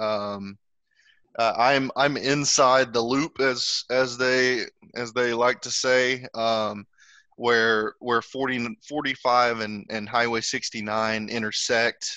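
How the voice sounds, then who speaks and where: Speaking at a very slow pace with fairly even intonation, a man talks with an American accent. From northeast Texas. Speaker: guest, software sales rep. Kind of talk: casual interview. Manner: hesitant, repeats words.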